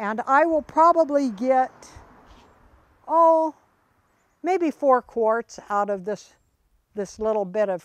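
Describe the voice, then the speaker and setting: A woman's fairly high voice swings very widely in pitch. The sound is dry and close with no echo, and the background is quiet. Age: 80s+. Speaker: home gardener. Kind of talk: garden tour walkthrough. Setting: outdoors. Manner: hesitant, many fillers.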